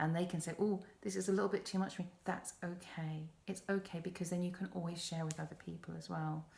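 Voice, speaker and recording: A woman with an English accent speaks in a calm, somewhat breathy, fairly low voice. Her delivery is flat and monotone, fairly quick, with hardly any pauses. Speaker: podcast host. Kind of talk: self-help podcast talk.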